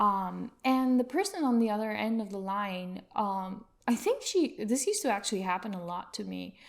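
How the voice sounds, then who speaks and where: Soft-spoken, a woman talks at a moderate pace with hardly any pauses. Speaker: UX consultant. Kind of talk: podcast interview.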